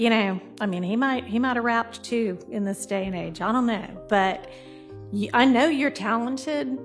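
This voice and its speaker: Music in the background under a woman's fairly high voice, lively in intonation, at a moderate pace. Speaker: judge. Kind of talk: courtroom address from the bench.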